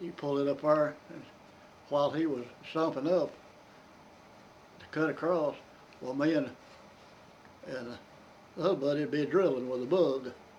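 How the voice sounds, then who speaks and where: With a Kentucky accent, a man with a fairly high pitch talks at a moderate pace, using fairly even intonation and long, frequent pauses. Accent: Southern American (Kentucky). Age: 80s+. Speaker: retired coal miner. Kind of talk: interview answer. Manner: storytelling, casual.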